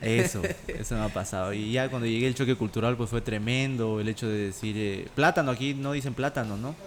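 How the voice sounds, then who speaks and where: A man talks at a fairly quick pace with hardly any pauses, his pitch medium and its variation ordinary. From Bolivia, La Paz (early childhood in Santa Cruz). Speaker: TikTok creator and amateur singer. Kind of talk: casual chat.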